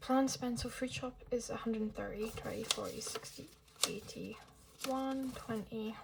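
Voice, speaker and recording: A soft-spoken, whispering woman at a fairly slow pace, over noticeable background noise. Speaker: budgeting vlogger. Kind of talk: casual vlog tutorial. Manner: soft, near-whispering.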